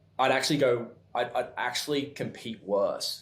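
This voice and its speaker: A man speaks with an Australian accent. There is audible room echo. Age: 30s. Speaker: clothing company founder. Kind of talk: podcast interview. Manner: fast when excited; halting, many restarts.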